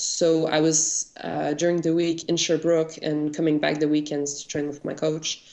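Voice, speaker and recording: A woman with a very deep, low pitch in a Quebec accent, monotone and flat, over noticeable background noise. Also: moderate pace, hardly any pauses. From Quebec, Canada (South Shore of Montreal). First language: French. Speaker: Olympic weightlifter. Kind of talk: interview. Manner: halting.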